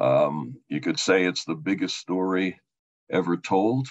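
A man's very deep, low voice moves at a very slow pace with lively intonation. The background stays quiet. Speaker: theology professor. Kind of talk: lecture. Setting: video call. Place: home room.

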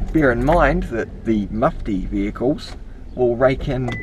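Fairly slow speech over noticeable background noise, with a dry sound and no echo. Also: man. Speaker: driver commenting on police. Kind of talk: casual vlog commentary. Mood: critical, indignant. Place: car. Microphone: camera far.

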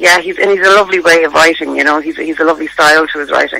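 Vocal fry runs through a bright, sharp tone delivered at a very fast pace with little pitch movement. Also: woman, low pitch for a woman.

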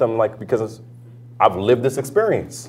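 At a moderate pace, a man talks in an animated tone with a New York accent. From New York, the Bronx. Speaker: politician; guest, politician. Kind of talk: talk to audience; panel talk. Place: classroom.

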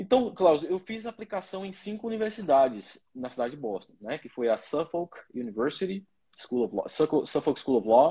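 A man's fairly high voice at a moderate pace, dark and mellow in tone, with very wide pitch swings and big swings in loudness. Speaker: lawyer. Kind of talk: interview.

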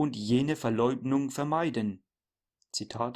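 Recorded very cleanly against a silent background, a man with a normal speaking voice and medium pitch speaks fairly slowly with ordinary pitch variation. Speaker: preacher. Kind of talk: sermon read aloud. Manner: solemn, formal, measured; earnest, admonishing, didactic.

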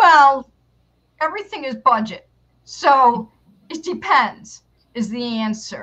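A raised, projected voice with a bright, sharp tone moves at a very slow pace, with long, frequent pauses, big swings in loudness and very wide pitch swings. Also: woman, high pitch for a woman. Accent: American. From New York. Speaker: public relations consultant and marketing teacher; marketing teacher. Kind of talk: interview. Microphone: headset.

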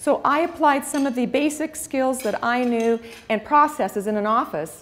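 A woman's voice at a moderate pace, with ordinary pitch variation. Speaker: speaker. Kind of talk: motivational talk. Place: hall. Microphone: lapel.

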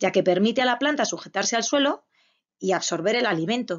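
Here is an unremarkable speaking voice with lively intonation. It keeps a moderate pace. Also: woman. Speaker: preschool teacher. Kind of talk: lesson for young children.

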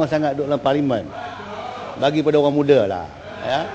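A man talks while noticeable noise sits behind him. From Malaysia. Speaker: government minister answering in parliament. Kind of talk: parliamentary answer, partly read statement; heated parliamentary debate. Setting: parliament chamber. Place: hall. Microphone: podium.

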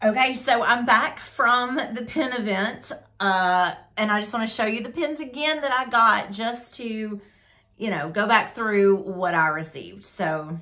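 A woman speaks at a fairly slow pace with lively intonation and a bright, sharp tone against a quiet background. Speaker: hobby vlogger. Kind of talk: casual vlog chat. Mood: excited, cheerful. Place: home room. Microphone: phone near.

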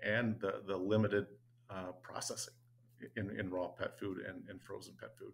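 This man has a fairly low pitch, a flat monotone delivery with vocal fry, and moves at a moderate pace. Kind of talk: interview answer. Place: office. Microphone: webcam.

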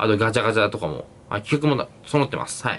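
Lively intonation carries a man's very fast speech. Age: 20s. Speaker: YouTuber and university student; YouTuber. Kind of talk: solo Q&A vlog; casual vlog chat, Q&A. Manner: casual, filler-heavy. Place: home room. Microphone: phone near.

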